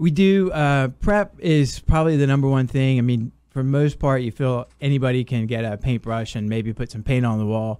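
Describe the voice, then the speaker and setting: With hardly any pauses, a man talks at a medium pitch in a dark, mellow tone on a very clean recording with a silent background. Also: ordinary pitch variation, moderate pace. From England, moved to US South at ten. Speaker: painting contractor, military veteran. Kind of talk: radio interview.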